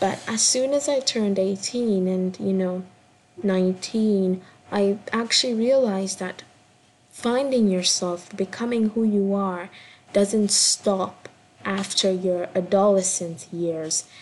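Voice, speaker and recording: A woman speaks at a very slow pace in a somewhat breathy voice. Her pitch variation is ordinary. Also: medium pitch for a woman. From Kenya. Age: 20s. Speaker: podcast host and performance artist. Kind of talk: casual solo intro monologue. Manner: hesitant, many fillers.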